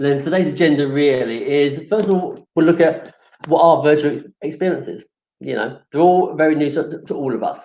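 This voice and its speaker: A man speaks with a London accent at a fairly quick pace. His pitch is fairly high, with ordinary variation. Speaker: webinar presenter, supplier manager at events marketplace. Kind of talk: webinar presentation. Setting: online webinar. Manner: hesitant, many fillers.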